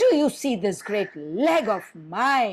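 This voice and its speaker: The speaker uses a put-on character voice that sits fairly high in pitch and carries a hissing sound. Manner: menacing, threatening.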